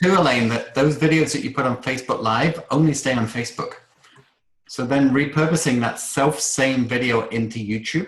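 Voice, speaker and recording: A man speaks with a British accent at a moderate pace. His pitch is medium, with ordinary variation. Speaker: online course coach. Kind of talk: group video call workshop Q&A.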